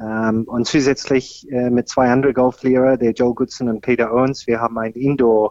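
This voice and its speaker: Monotone, flat delivery from a man with an English accent, at a moderate pace. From Australia. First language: English (speaking German). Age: 50s. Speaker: golf pro and senior tour player. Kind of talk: interview. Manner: hesitant, many fillers.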